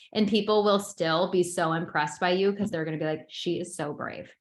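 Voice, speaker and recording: The speaker is a woman with a fairly low pitch. She moves at a fairly quick pace. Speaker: social media branding coach. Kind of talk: webinar lecture. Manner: fast; animated.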